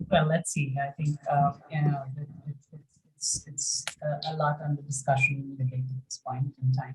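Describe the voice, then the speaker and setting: At a moderate pace, a woman speaks in a monotone, flat intonation, her very deep, low voice somewhat breathy. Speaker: banking executive. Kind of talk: webinar Q&A. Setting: online webinar.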